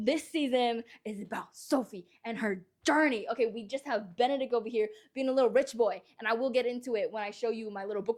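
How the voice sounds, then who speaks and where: A woman's animated, very fast delivery at a fairly high pitch, with ordinary pitch variation. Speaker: YouTuber. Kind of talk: casual chat.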